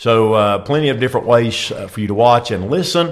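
Lively intonation at a moderate pace in a normal speaking voice. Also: man. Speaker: podcast host and pastor. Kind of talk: casual interview.

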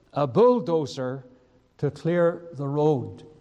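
In a Northern Irish accent, a man speaks with a dark, mellow tone. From Northern Ireland, County Down. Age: 70s. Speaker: preacher. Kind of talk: sermon and personal testimony. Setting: church service with congregation.

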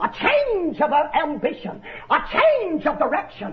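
Noticeable background noise accompanies a man with an American accent whose pitch is extremely high. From North Georgia, US South. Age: 30s. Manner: animated; emphatic, repetitive, exhortative.

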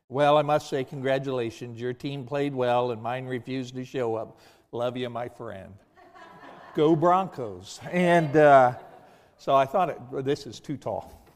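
This is a normal speaking voice at a fairly slow pace. Its pitch varies in an ordinary way. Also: man. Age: 50s. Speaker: guest preacher and military veteran. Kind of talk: sermon. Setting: church.

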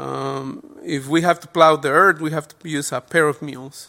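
With a Spanish accent, a man speaks at a moderate pace in a bright, sharp tone and a fairly high pitch. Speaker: lay preacher. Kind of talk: sermon. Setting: church. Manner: halting.

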